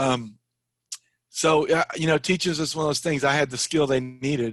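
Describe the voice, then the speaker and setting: A man speaks at a moderate pace in a plain, everyday voice. His pitch is fairly high, and his intonation is fairly even. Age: 50s. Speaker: Spanish and ESL teacher, finance blogger. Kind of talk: interview.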